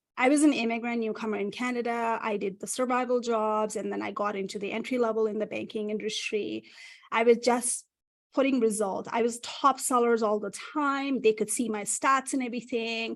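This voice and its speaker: Against a quiet background, a speaker with a non-native accent talks fairly quickly with fairly even intonation. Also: woman, fairly high pitch for a woman. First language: not English. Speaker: career strategist. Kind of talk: interview.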